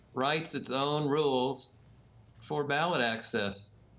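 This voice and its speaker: Bright and sharp in tone, a man speaks at a fairly slow pace amid audible room echo. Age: 70s. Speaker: election law expert and newsletter publisher. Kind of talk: interview.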